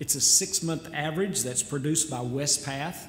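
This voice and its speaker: A man with a fairly high pitch and ordinary pitch variation speaks over light background noise, with audible room echo. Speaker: church lay leader. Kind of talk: church business presentation. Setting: church. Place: church. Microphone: podium.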